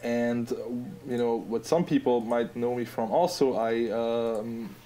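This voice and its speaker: A man speaks with an Austrian accent at medium pitch. His tone is dark and mellow. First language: German. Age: 20s. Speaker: app designer. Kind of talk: casual podcast interview.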